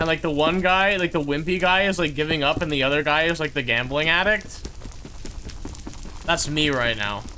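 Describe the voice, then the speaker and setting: A man with an American accent speaks at a moderate pace and fairly high pitch, with ordinary pitch variation and very even loudness. Long, frequent pauses break up his speech against noticeable background noise. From California. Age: 20s. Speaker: gaming streamer. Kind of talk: live gameplay stream chat. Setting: live stream. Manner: casual, rambling filler words.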